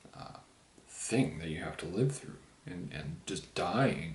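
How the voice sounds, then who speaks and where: A man whispers quietly over noticeable background noise. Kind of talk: casual book review talk to camera, while drinking a beer. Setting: home, recorded on camera with poor sound. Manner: whispered, quiet.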